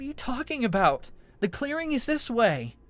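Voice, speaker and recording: In a put-on character voice, a man speaks at a moderate pace with an extremely high pitch for a man, lively intonation and big swings in loudness. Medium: read story. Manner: frightened.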